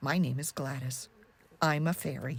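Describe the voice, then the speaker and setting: Someone does a put-on character voice at a low-to-middle pitch and a moderate pace. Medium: read story. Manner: warm, reassuring.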